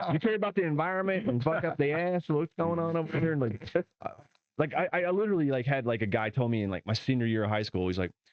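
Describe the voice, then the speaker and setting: With a slight Southern US accent, a man with a fairly high pitch talks very fast, his pitch swinging very widely. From US South, southeast Arkansas. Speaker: stand-up comedian. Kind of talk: casual chat.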